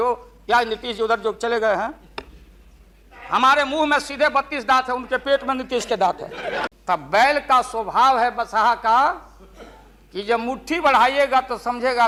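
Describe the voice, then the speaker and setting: The voice is raised and projected, in a Bihari accent, with ordinary pitch variation. There is noticeable background noise. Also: man. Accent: Bihari Hindi. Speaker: politician. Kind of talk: parliamentary speech. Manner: humorous.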